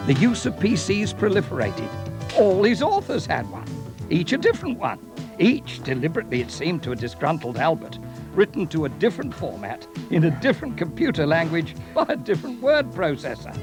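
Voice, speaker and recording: Music runs behind a man who talks at a fairly quick pace. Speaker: voice-over artist. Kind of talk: corporate promotional narration. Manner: wry, humorous storytelling.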